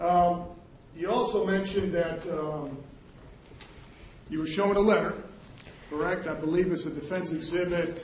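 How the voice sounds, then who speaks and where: A moderate pace with fairly even intonation and long, frequent pauses, amid noticeable background noise and audible room echo. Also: man, high pitch for a man. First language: Spanish. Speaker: prosecutor. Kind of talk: courtroom redirect examination. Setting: courtroom.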